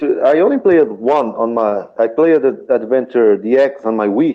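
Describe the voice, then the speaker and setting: Speaking at a moderate pace with a non-native accent, a man with a medium pitch uses lively intonation. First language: not English. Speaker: podcast participant, gamer. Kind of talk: casual group chat. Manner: halting, many restarts.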